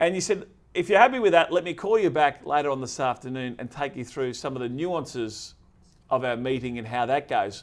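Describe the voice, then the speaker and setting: With an Australian accent, a man speaks in an energetic tone at a fairly high pitch and a fairly quick pace, his intonation lively and his loudness swinging widely. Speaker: podcast host. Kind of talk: casual interview chat.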